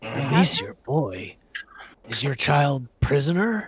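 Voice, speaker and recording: A man performs a raspy, put-on character voice at a fairly high pitch. He moves at a fairly slow pace with very wide pitch swings. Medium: actual play. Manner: blunt, accusing.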